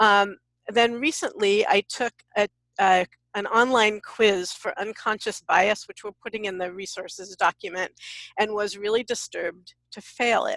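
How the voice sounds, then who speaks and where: A woman with an American accent and a normal speaking voice, fairly high in pitch, at a moderate pace with fairly even intonation and big swings in loudness, in dry, close sound with no echo. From US West Coast, San Francisco. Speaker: diversity workshop leader. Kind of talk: webinar panel discussion.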